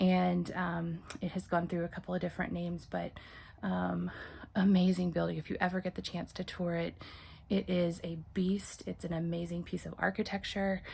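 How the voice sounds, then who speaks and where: A soft-spoken woman with an American accent, at a moderate pace. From Texas, Corsicana. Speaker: channel owner restoring a historic house. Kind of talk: casual vlog. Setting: parents' house, indoors. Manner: hesitant, many fillers.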